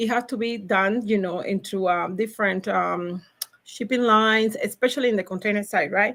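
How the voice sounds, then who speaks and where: The recording is very clean with a silent background as a woman speaks at a moderate pace with a Cuban accent. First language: Spanish. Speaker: logistics professional. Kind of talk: podcast interview. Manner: animated, high energy; halting, many fillers.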